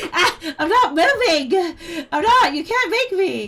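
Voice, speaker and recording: Noticeable background noise sits behind this woman. Her pitch swings very widely. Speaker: VTuber streamer. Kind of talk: casual chat.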